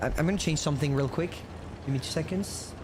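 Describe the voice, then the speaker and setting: The speaker has a French accent. Noticeable background noise can be heard. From France. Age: 20s. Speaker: gaming streamer. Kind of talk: casual live-stream chat while gaming. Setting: live stream. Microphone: mic cutting out at times.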